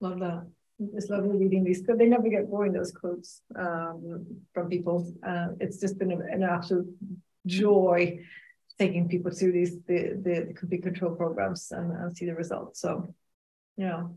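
Somewhat breathy and dark, mellow in tone, the voice moves at a moderate pace with monotone, flat intonation. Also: woman, fairly low pitch for a woman. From Sweden. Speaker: podcast co-host and alcohol-free coach. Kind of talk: recorded live webinar with slides. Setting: live online event. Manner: quiet.

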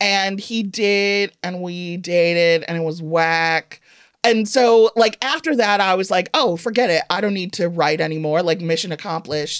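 An ordinary speaking voice with an American accent, ordinary pitch variation and a moderate pace, on a very clean recording with a silent background. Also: woman, medium pitch for a woman. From Evanston, Illinois. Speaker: humorist author. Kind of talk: casual interview. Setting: studio.

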